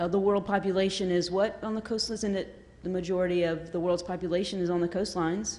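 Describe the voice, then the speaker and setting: In a Southern US accent, a woman speaks at a fairly quick pace and medium pitch, with audible room echo around her. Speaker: audience member asking a question. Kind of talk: audience question at panel. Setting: conference hall with audience.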